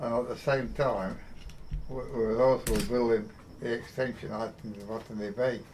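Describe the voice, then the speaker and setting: A man with an English accent and fairly even intonation. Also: medium pitch for a man, moderate pace. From England. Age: 80s+. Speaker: heavy machinery construction worker. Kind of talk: interview answer.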